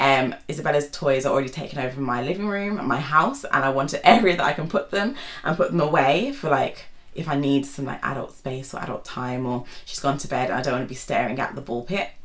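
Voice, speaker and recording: A woman with a British accent talks at a very fast pace in a very deep, low pitch with ordinary pitch variation. The recording has audible room echo and noticeable background noise. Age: 20s. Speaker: YouTuber and GP doctor. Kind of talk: casual vlog monologue. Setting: seated at home.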